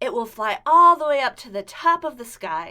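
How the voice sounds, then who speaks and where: The speaker uses a put-on character voice with a high pitch. The pace is moderate. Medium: read story.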